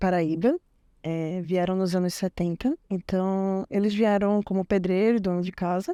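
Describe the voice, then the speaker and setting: In a very clean recording with a silent background and a dry, close sound with no echo, a woman with a northeastern Brazilian accent talks at a moderate pace in a medium pitch, her tone dark and mellow and her intonation fairly even. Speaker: IT technician, former program student. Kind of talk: interview testimony.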